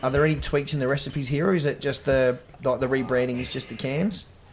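Fairly high in pitch, a man's voice moves along at a fairly quick pace. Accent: Australian. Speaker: podcast co-host. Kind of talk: casual chat. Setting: home bar.

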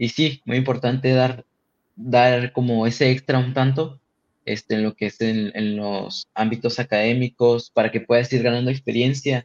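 A man speaks at a medium pitch in a flat monotone, at a fairly slow pace. The sound is dry and close, with no echo. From Tijuana, Mexico. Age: 20s. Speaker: aerospace engineering student. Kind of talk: casual interview.

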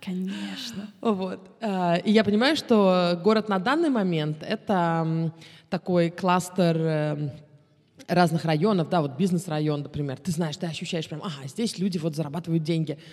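Here is a woman in an ordinary speaking voice with fairly low pitch and ordinary pitch variation. She talks at a fairly slow pace on a very clean recording with a silent background. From Moscow, Russia, then Israel from 14. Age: 30s. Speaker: tour guide. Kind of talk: casual interview.

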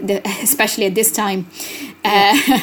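With an Italian accent, a woman talks at a medium pitch with fairly even intonation. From Italy. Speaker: language researcher and arts festival director. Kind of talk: interview. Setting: remote recording.

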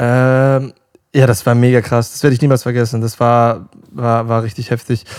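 A man with an ordinary speaking voice, medium pitch and fairly even intonation. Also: moderate pace. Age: 20s. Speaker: pop singer. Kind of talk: casual interview.

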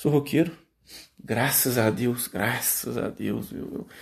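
A man speaks with vocal fry. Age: 20s. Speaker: podcaster. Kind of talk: solo monologue. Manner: hesitant, many fillers.

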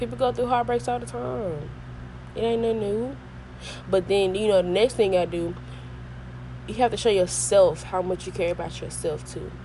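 Pausing long and often, a woman keeps a moderate pace as noticeable background noise continues behind her. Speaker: podcast host. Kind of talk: casual monologue.

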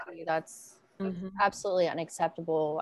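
A woman speaks in a Southern US accent with a fairly low pitch. Her pace is moderate and her intonation fairly even. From Arkansas, US South. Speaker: violence prevention strategist and public speaker. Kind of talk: panel discussion.

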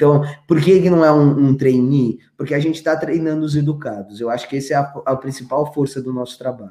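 A man's fairly high voice with a dark, mellow tone, fairly even intonation, and a fairly quick pace with hardly any pauses. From São Paulo, Brazil (Grajaú). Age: 30s. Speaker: tech education entrepreneur. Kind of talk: interview.

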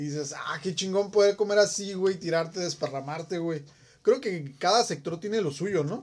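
This man's voice sits high in pitch and shows ordinary variation. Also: moderate pace. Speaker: podcast co-host. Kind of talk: casual chat.

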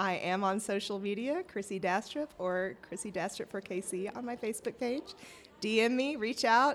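With ordinary pitch variation, this woman talks at a medium pitch. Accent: Southern US. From US South, rural Arkansas. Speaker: city council candidate. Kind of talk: interview.

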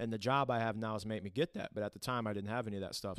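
The speech comes with a Midwestern American accent and fairly even intonation. The recording is very clean with a silent background, and the sound is dry and close with no echo. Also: man. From Toledo, Ohio. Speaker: church worship team member. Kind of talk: faith-based conversation, personal testimony. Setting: at the church.

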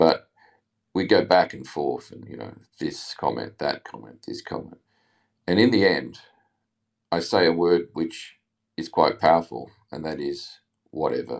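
With an Australian accent, a man speaks in a very deep, low voice with vocal fry, lively intonation, big swings in loudness, and long, frequent pauses. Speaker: listener calling in. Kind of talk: casual chat. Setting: online audio room.

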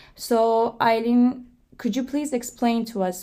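The voice has a dark, mellow tone and a Turkish accent. Its pace is fairly slow. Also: woman, very clean recording, silent background. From Turkey. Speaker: podcast co-host, graduate student. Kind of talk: casual chat.

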